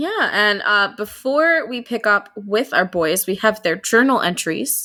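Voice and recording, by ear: The intonation is lively as someone reads aloud in a natural voice.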